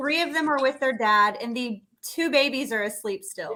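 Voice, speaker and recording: A woman with an American accent speaks in a raised, projected voice at a moderate pace, her high pitch, lively intonation and bright, sharp tone all clear. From United States. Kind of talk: casual livestream chat.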